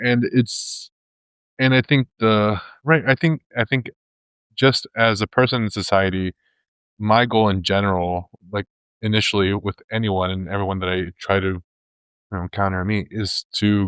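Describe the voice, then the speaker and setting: At a moderate pace and fairly low pitch, a man speaks with ordinary pitch variation and long, frequent pauses against a quiet background. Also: dry, close sound with no echo. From Spain, then Texas. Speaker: congregation member sharing a reflection. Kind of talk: personal testimony. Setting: church service before a live audience. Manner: halting, many fillers and restarts.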